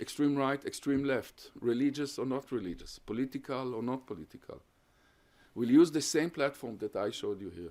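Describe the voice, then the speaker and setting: In a Hungarian accent, a man speaks at a medium pitch with a dark, mellow tone and vocal fry. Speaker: professor. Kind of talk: lecture Q&A. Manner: halting.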